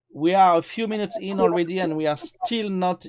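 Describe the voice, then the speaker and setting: Speaking in a French accent, a man uses a high pitch with ordinary pitch variation. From France. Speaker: cameraman. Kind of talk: casual chat. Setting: live stream.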